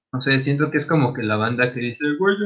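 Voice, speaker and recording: With lively intonation, a man talks in a fairly high pitch. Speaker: podcast co-host. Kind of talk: casual chat.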